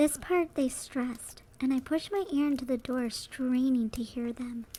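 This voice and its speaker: Fairly slow and fairly even in intonation, a woman speaks in a high-pitched voice. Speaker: VTuber. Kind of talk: horror story narration.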